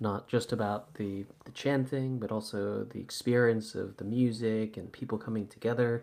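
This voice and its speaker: A man speaks with a Californian accent. His loudness swings widely. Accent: Californian American. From US West Coast, Santa Monica. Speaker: yoga teacher and podcast host. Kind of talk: casual interview chat. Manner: halting.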